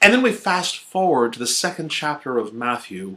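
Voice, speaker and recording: A man's bright, sharp voice with very wide pitch swings. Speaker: pastor. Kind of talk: sermon delivered to a congregation.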